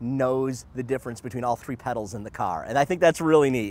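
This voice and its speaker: A man with an American accent talks at a fairly quick pace in a plain, everyday voice, medium in pitch with ordinary pitch variation. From Detroit, US Midwest. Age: 40s. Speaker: race car driver. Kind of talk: promotional interview.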